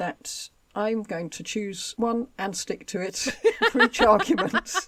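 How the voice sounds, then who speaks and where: A woman with a Home Counties accent speaks in a fairly high pitch on a very clean recording with a silent background. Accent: southern English, home counties. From southern England, Buckinghamshire. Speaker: history podcast co-host. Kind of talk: reading aloud; casual chat.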